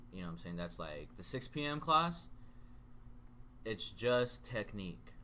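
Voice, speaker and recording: A man at medium pitch talks fairly slowly, with very wide pitch swings and big swings in loudness. The room echo is audible. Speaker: jiu-jitsu practitioner. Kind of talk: casual chat.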